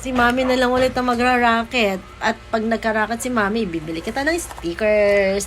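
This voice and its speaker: With music in the background, a woman at a fairly high pitch talks at a fairly quick pace with hardly any pauses and ordinary pitch variation. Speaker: vlogger and mother of a child talent. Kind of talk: casual family vlog. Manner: animated.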